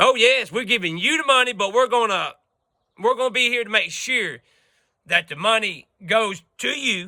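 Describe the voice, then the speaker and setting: At a moderate pace, a man with an extremely high pitch speaks in a raised, projected voice, his tone animated, bright and sharp, with ordinary pitch variation. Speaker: video blogger. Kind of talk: political rant to camera. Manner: loud.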